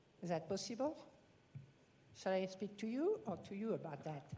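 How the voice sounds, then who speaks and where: A somewhat breathy woman with a French accent and a dark, mellow tone. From France. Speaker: rancher, public commenter. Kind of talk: public comment at county hearing. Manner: halting.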